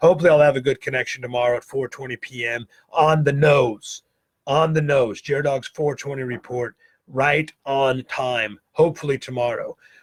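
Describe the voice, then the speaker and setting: At a moderate pace, a man speaks with a fairly high pitch and fairly even intonation, somewhat breathy, in a dry, close sound with no echo. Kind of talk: casual livestream chat. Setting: Facebook Live video stream.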